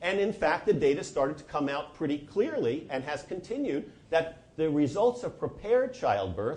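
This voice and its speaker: With an American accent, a man talks in very wide pitch swings, and room echo can be heard. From New Jersey, US. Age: 60s. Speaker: physician and lecturer. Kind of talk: lecture.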